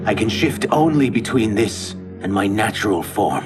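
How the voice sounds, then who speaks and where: A man's put-on character voice, fairly low in pitch and moderate in pace, over clear music in the background. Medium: short film.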